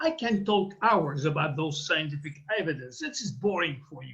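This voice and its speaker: A man talks at a fairly quick pace. His voice has very wide pitch swings. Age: 70s. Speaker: doctor giving a product science talk. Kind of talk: interpreted presentation.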